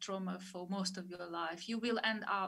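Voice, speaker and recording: At a moderate pace, a woman talks with fairly even intonation and a bright, sharp tone, with audible room echo. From Moldova. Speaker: author. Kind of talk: author talk interview. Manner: halting.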